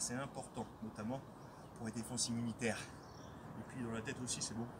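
A man's voice against noticeable background noise. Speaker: fitness coach. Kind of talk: guided stretching instruction. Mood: calm, encouraging. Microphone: camera far.

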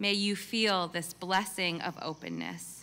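Very slowly, a woman speaks in a solemn tone at a fairly low pitch, her voice bright and sharp. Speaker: multifaith chaplain. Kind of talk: benediction prayer at a graduation ceremony. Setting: stage with audience at commencement. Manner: solemn, measured, reverent. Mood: calm, solemn, warm. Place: stage. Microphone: podium.

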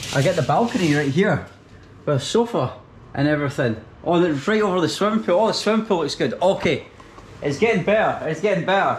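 A man with a Scottish accent speaks at a very fast pace in a high pitch, with lively intonation and very even loudness. Light background noise can be heard. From Scotland. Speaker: travel vlogger. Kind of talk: travel vlog narration. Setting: on location, walking around. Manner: casual, chatty. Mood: pleased, excited. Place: home room. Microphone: phone near.

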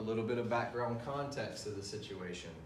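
A man's voice with audible room echo and a little background noise. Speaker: teacher. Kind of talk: lecture. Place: classroom. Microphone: camera far.

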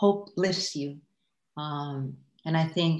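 Against a quiet background with audible room echo, a woman talks at a fairly low pitch. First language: Farsi. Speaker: artist. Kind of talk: casual chat. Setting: video call. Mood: reflective, calm. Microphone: video call.

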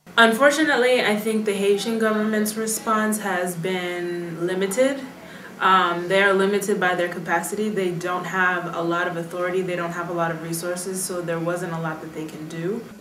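Light background noise and audible room echo behind a woman with an American accent, medium pitch, ordinary pitch variation and a moderate pace. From United States. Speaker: Foreign Service officer; interviewee. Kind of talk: interview. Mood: calm, reflective. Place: home room.

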